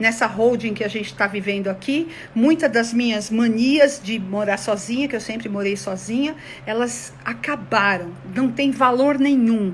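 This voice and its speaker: Noticeable background noise sits behind a woman with a fairly high pitch, who speaks at a fairly slow pace with ordinary pitch variation. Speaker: conflict mediation consultant. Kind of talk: online talk to an audience. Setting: online video session. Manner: animated.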